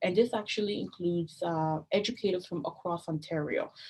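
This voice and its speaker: Her voice somewhat breathy, a woman talks with ordinary pitch variation. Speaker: open education coordinator presenting a training; presenter. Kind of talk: online training presentation. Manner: fast. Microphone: webcam.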